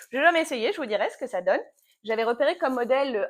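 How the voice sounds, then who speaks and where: A woman's voice with very wide pitch swings, on a very clean recording with a silent background. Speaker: knitting podcaster, yoga teacher. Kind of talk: casual knitting vlog chat. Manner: fast; hesitant, many fillers.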